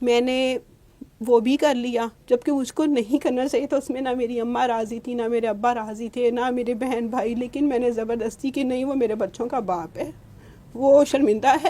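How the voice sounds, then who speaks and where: With a high pitch and a dark, mellow tone, a woman talks in fairly even intonation. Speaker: interviewee, divorced mother. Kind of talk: personal testimony in interview. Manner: halting, with fillers.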